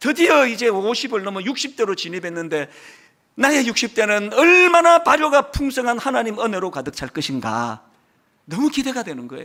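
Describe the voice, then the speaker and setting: In a very clean recording with a silent background, a man speaks in a raised, projected voice at an extremely high pitch, his bright, sharp, animated tone making very wide pitch swings. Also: moderate pace, big swings in loudness. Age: 60s. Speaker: pastor. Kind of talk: sermon.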